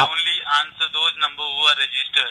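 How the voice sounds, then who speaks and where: Talking at a moderate pace, a man speaks with an Indian accent. Noticeable background noise runs underneath. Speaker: phone scammer. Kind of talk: phone conversation. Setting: phone line.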